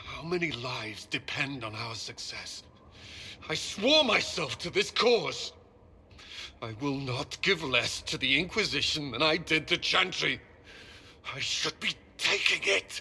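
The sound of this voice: A man's put-on character voice, fairly high in pitch with vocal fry, a bright, sharp tone, lively intonation and a fairly slow pace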